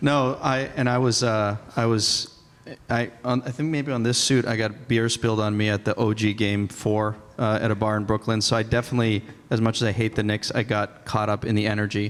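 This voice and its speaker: There is noticeable background noise as a man talks at a fairly quick pace and a medium pitch. His intonation is monotone and flat, and his loudness stays very even. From Boston. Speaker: compliance tech executive. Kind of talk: conference panel discussion.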